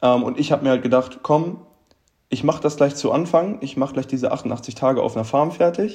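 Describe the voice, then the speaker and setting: This man's pitch sits fairly high, with ordinary variation. He sounds somewhat breathy and moves at a fairly quick pace. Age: 20s. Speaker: traveller and steel worker. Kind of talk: casual interview chat. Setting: video call.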